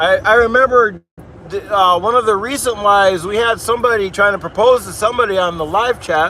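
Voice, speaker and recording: A man's high, raised and projected voice with an American accent, ordinary pitch variation and a fairly quick pace, over noticeable background noise. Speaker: livestreamer plowing snow. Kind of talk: live stream chat reading. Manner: casual, conversational.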